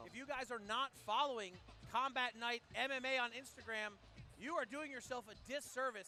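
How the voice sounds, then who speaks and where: Over music in the background, a man with an extremely high pitch uses a raised, projected voice in an excited, energetic tone at a moderate pace. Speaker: MMA commentator and analyst. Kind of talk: live MMA color commentary. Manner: excited, energetic broadcast delivery.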